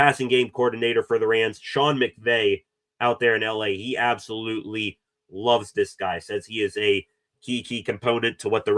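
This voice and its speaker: A man at a medium pitch and moderate pace, with a slight Pittsburgh accent and fairly even intonation. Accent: Pittsburgh Yinzer, mild. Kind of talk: sports analyst, reporting.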